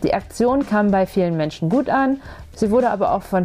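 Over music in the background, a woman with a fairly high pitch speaks with lively intonation. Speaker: podcast host, journalist. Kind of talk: interview. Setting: outdoors on a bench by a lake.

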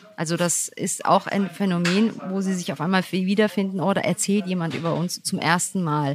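In a normal speaking voice, a woman at a medium pitch keeps a moderate pace with hardly any pauses and fairly even intonation. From Germany, Turkish parents. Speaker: podcast host. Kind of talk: interview.

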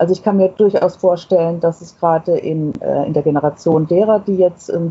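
A woman talks at a moderate pace with a fairly low pitch. Her voice is somewhat breathy, and her intonation fairly even. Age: 60s. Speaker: author of a self-portrait booklet. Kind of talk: interview. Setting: remote connection.

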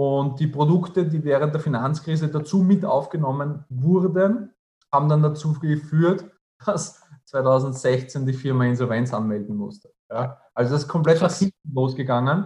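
Here a man speaks with a fairly high pitch and a dark, mellow tone. He is somewhat breathy and goes at a fairly slow pace. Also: ordinary pitch variation. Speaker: entrepreneur and finance advisor. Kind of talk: interview.

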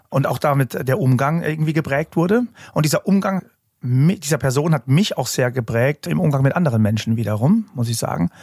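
A man speaks at a fairly quick clip with a fairly high pitch, a somewhat breathy voice, lively intonation and very even loudness, recorded dry and close with no echo. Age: 40s. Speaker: hypnotist and construction industry lecturer. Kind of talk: casual chat.

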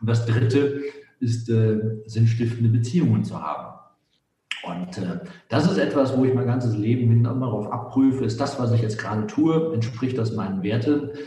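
A man's voice sits at a medium pitch, with audible echo from the room around it. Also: ordinary pitch variation, moderate pace. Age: 50s. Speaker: business author and consultant. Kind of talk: podcast interview.

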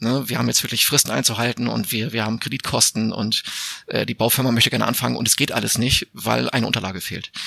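A man speaks at a very fast pace. His voice sits at medium pitch with fairly even intonation. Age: 40s. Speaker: editor and homeowner. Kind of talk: interview.

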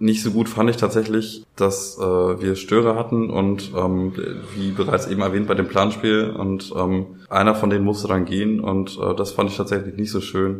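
The speech is fairly slow, with monotone, flat intonation. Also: man, fairly low pitch for a man. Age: 20s. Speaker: youth participation facilitator, trained educator. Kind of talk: casual interview chat. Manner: hesitant, many fillers.

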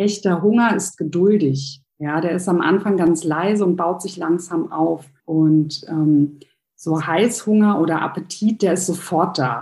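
A woman speaks at a fairly slow pace in a fairly low pitch, her tone dark and mellow, with ordinary pitch variation. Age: 30s. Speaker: nutritionist and hypnosis coach. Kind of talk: interview.

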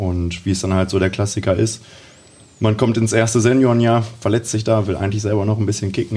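Here is a man with a normal speaking voice at a fairly low pitch. His intonation stays fairly even. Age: 20s. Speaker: youth football coach. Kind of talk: casual interview.

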